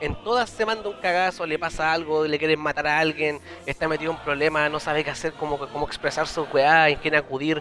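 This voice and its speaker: A man with a Chilean accent and a fairly high pitch, at a very fast pace with hardly any pauses, over noticeable background noise. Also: fairly even intonation. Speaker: podcast co-host. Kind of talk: casual chat.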